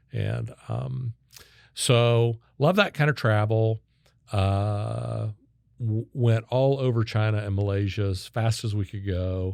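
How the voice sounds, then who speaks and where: On a very clean recording with a silent background, a man with an American accent speaks very slowly, his fairly low pitch showing ordinary variation. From Kansas (Wichita). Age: 60s. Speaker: sales consultant and keynote speaker. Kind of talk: podcast interview.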